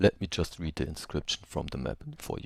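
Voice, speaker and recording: A man with a non-native accent speaks at a fairly quick pace in a very deep, low pitch. The sound is dry and close with no echo, on a very clean recording with a silent background. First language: not English. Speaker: travel video narrator. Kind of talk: unscripted voice-over commentary.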